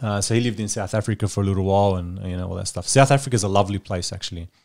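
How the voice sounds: Speaking very fast, a man with a low pitch and a slightly mellow tone shows vocal fry in a very clean recording with a silent background. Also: ordinary pitch variation.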